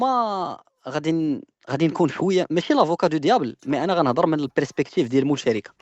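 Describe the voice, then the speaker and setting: Here a man talks at a very fast pace. His pitch is fairly high and his intonation lively. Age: 20s. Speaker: business owner. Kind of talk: casual discussion. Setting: call into live stream.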